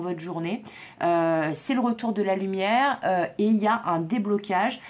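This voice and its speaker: The speaker is a woman. There is ordinary variation in her pitch. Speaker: psychic tarot reader. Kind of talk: tarot reading monologue. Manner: stumbling, hesitant fillers.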